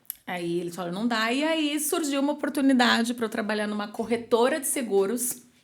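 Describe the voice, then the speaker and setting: Fairly quick speech from a woman with a fairly high pitch and lively intonation. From São Paulo, Brazil. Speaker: marketing executive. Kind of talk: podcast interview. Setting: studio podcast, drinking wine. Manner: casual, conversational.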